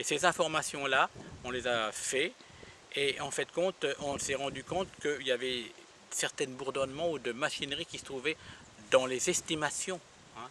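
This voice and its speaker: Fairly high-pitched man at a fairly slow pace, fairly even intonation, and long, frequent pauses amid noticeable background noise. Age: 60s. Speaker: ufologist and investigator. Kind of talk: interview. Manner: halting.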